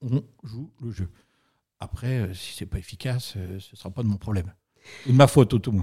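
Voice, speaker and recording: Somewhat breathy man at medium pitch, ordinary pitch variation, big swings in loudness, moderate pace and long, frequent pauses, on a very clean recording with a silent background. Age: 50s. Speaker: real estate industry federation president. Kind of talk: interview.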